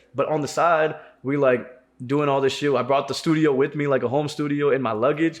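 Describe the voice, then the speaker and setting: Here a man speaks at a fairly high pitch. His intonation is flat and monotone. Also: fairly quick pace. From South Indian family, raised in US. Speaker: podcast host and rapper. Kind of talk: casual chat. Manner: casual slangy, many fillers.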